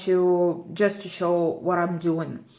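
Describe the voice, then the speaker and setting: A woman speaks very slowly at a medium pitch with monotone, flat intonation. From Lithuania. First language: Lithuanian. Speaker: cross-stitching vlogger. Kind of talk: casual vlog talk. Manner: halting, many fillers.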